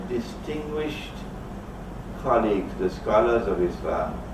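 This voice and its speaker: A man at a fairly slow pace with very wide pitch swings, amid audible room echo and noticeable background noise. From Trinidad. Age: 70s. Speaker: Islamic scholar. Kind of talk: lecture.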